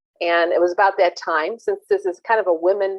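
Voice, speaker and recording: A woman speaks at a moderate pace and a medium pitch. Hers is an unremarkable speaking voice. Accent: American. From US Midwest, St. Louis. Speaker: venture capital investor. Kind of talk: panel talk.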